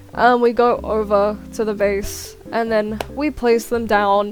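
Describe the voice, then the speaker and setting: Noticeable background noise sits under a woman's fairly high-pitched voice, which keeps a fairly even intonation. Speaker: gaming YouTuber. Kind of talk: voiceover narration of gameplay. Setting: recorded voiceover while editing. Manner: casual, with fillers.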